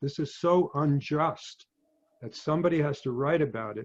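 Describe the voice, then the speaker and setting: A somewhat breathy man's voice, fairly high, with an American accent, moderate pace and ordinary pitch variation. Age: 70s. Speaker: physician and novelist. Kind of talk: talk to an audience. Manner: halting.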